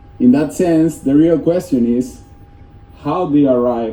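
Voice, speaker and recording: A man with a Spanish accent, medium pitch and fairly slow pace, amid noticeable background noise and audible room echo. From Venezuela, east coast. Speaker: software developer. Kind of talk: conference talk. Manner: halting.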